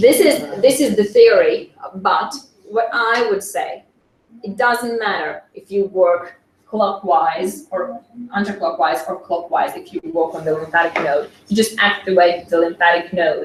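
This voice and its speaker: A woman speaks with a non-native accent and lively intonation. Her loudness swings widely. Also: medium pitch for a woman, fairly slow pace. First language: not English. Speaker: SCENAR practitioner. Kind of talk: conference presentation. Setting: conference with audience. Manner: halting, many fillers.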